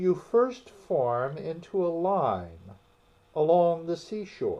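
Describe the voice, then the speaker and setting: A man puts on a character voice pitched high. He talks at a very slow pace. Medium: read story. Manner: loud, brash.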